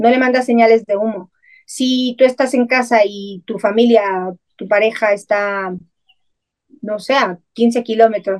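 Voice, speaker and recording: Here a woman speaks at a fairly high pitch. Her pitch varies in an ordinary way. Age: 50s. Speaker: spiritual channeler and psychic. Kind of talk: interview.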